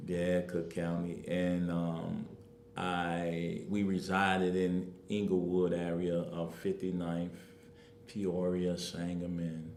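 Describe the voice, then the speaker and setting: Over audible room echo, a man speaks very slowly in a very deep, low voice with monotone, flat intonation. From Chicago, South Side (Englewood). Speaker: community activist and political candidate. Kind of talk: interview.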